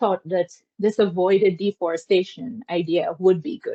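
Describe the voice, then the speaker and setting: A woman with a Guyanese accent speaks at a moderate pace in a dark, mellow tone, with a dry, close sound with no echo. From Guyana. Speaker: academic lecturer. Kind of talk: academic seminar talk and Q&A.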